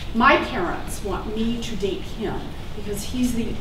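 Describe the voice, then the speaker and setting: Amid noticeable background noise and audible room echo, a woman speaks at a fairly slow pace with ordinary pitch variation. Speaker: storyteller. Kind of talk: staged personal storytelling. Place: stage.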